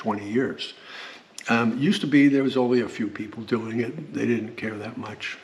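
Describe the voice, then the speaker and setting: With noticeable background noise behind him, a man talks at a medium pitch with fairly even intonation. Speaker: solar power YouTuber. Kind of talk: technical product tutorial. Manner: long pauses, says um a lot; halting, repetitive.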